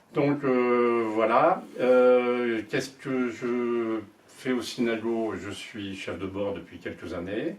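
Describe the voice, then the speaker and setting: Amid noticeable background noise, a man speaks very slowly, his loudness swinging widely while his pitch varies in an ordinary way. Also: medium pitch for a man. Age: 70s. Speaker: sailing association board candidate. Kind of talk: candidate self-introduction. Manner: halting, many hesitations.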